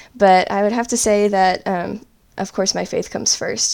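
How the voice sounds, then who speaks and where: With an American accent, a woman talks in a normal speaking voice at a medium pitch with ordinary pitch variation. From US South, upstate South Carolina. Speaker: ceramic artist and author. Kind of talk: interview.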